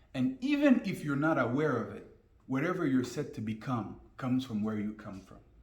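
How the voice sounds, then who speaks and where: Fairly quick speech with a French accent, lively intonation and big swings in loudness, heard with audible room echo. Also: man, medium pitch for a man. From Guinea, with childhood years in the US. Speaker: business and life coach. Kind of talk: interview. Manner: fluent.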